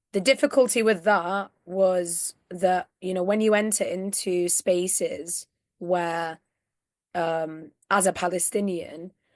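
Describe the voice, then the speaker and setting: Speaking very slowly with a northern English accent, a woman keeps a medium pitch and fairly even intonation. The sound is dry and close with no echo, over a quiet background. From northern England. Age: 20s. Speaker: activist. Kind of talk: interview.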